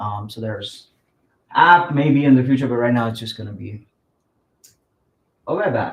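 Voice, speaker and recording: The speaker is a man with a non-native accent. His pitch sits in the medium range and varies in an ordinary way. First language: not English. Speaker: app developer pitching project. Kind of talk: project pitch. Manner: halting, many fillers.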